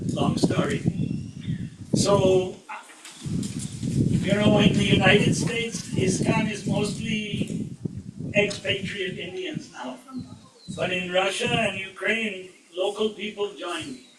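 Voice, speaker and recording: With audible room echo and noticeable background noise, a man speaks at a very slow pace in a high pitch, with fairly even intonation and long, frequent pauses. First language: Indian language. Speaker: spiritual speaker. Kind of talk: spiritual talk.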